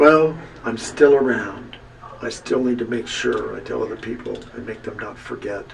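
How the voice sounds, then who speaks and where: There is noticeable background noise and audible room echo as a man speaks with big swings in loudness. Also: moderate pace. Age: 60s. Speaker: long-term HIV survivor. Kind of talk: personal testimony. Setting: video booth.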